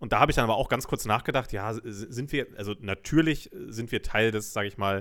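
A man's unremarkable speaking voice at medium pitch, fairly quick and lively in intonation, on a very clean recording with a silent background. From Lower Saxony (Braunschweig area). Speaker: podcast co-host. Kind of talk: casual chat.

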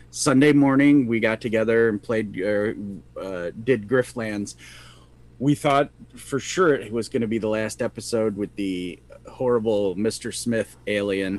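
A man talks at a fairly slow pace in a plain, everyday voice. His pitch varies in an ordinary way. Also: medium pitch for a man. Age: 50s. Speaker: podcast co-host, tabletop gamer. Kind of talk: casual chat. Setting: live stream.

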